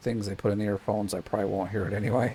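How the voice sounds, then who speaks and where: A soft-spoken man, fairly low in pitch, with monotone, flat intonation. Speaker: gaming YouTuber. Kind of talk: gameplay commentary. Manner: quiet, hard to hear.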